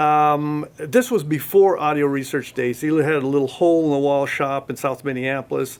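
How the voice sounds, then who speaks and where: A man's ordinary speaking voice, fairly high-pitched, at a moderate pace, with fairly even intonation and hardly any pauses. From US, Oregon. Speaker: audio company marketing director. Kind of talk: interview. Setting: audio store.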